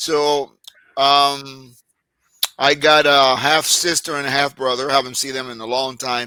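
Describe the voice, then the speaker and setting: A man speaks at a very slow pace with a Puerto Rican accent. His fairly high voice has a bright, sharp tone. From Puerto Rico. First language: Spanish. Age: 60s. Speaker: army veteran, former medic. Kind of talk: casual interview. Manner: halting, many fillers.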